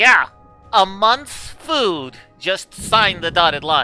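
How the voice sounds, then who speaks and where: A put-on character voice moves at a very slow pace. Faint music plays in the background. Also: man, high pitch for a man. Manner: tempting, like a sly deal-maker.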